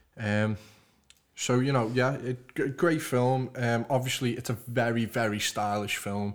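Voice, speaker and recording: With a Liverpool accent, a man speaks at a moderate pace in a medium pitch with fairly even intonation, captured in a very clean recording with a silent background. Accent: Liverpool (Scouse) English. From Liverpool, England. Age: 20s. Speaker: podcast host. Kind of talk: casual chat.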